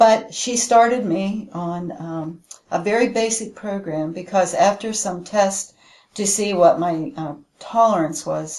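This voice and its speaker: A woman with a plain, everyday voice and an American accent speaks at a fairly slow pace and medium pitch, with ordinary pitch variation and big swings in loudness. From Western Pennsylvania. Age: 60s. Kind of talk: testimonial interview answer.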